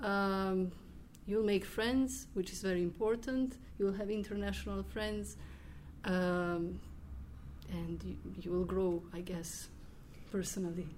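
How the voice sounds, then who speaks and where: The speech comes at a fairly slow pace in a Croatian accent, with long, frequent pauses. There is audible room echo. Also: woman. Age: 20s. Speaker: exchange student. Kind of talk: group interview.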